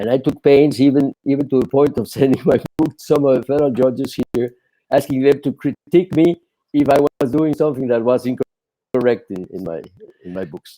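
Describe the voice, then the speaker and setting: Speaking at a fairly quick pace, a man has a fairly high pitch, ordinary pitch variation and a dark, mellow tone, in a dry, close sound with no echo. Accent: strong Spanish. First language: Spanish. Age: 70s. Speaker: attorney and court interpreter, author. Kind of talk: podcast interview. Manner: halting, many repetitions.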